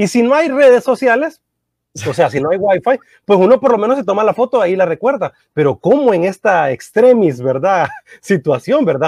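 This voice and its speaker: Pitch swings very widely at a moderate pace. The sound is dry and close, with no echo. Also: man, high pitch for a man. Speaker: radio host. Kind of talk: interview.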